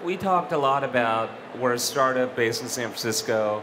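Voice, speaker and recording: A man is talking, and noticeable background noise can be heard. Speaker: startup executive and founder. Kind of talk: panel discussion. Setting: stage with audience. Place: stage. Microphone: headset.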